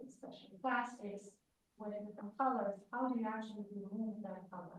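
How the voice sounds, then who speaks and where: Somewhat breathy speech in a Romanian accent moves at a fairly quick pace with fairly even intonation, big swings in loudness and audible room echo. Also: woman, fairly high pitch for a woman. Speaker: industrial chemist, guest lecturer. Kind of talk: lecture. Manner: halting, many fillers.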